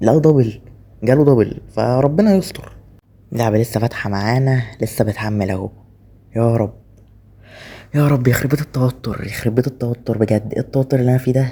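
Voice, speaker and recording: A man's somewhat breathy voice in an Egyptian accent, medium in pitch and dark, mellow in tone, at a moderate pace with ordinary pitch variation. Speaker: gaming YouTuber. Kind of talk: gameplay commentary. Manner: holding voice down.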